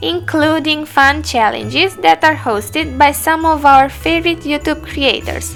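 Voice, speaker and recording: Music plays in the background as a woman with a Romanian accent speaks at a fairly slow pace. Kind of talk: DIY tutorial voiceover.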